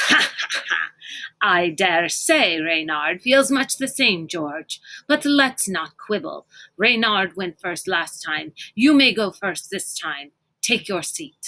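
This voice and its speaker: In a put-on character voice, a female-sounding speaker talks shrill at a middle pitch and a fairly slow pace. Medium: read story. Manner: smug, condescending.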